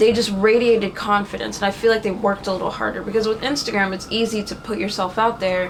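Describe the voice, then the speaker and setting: Noticeable background noise is present. A woman speaks at a medium pitch. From Haiti, then DC/Virginia and Florida. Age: 20s. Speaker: fashion model. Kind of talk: interview.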